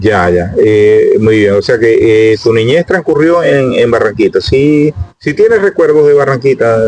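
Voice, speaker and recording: Noticeable background noise sits behind a man speaking at a fairly slow pace. He has hardly any pauses and keeps a very even loudness. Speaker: YouTube interviewer, local chronicler. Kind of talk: interview. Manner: hesitant.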